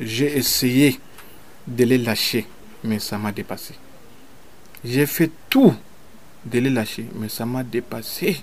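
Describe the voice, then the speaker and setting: A man speaks at a very slow pace with long, frequent pauses, his medium pitch showing ordinary variation. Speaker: traditional healer. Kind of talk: radio interview. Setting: at his home.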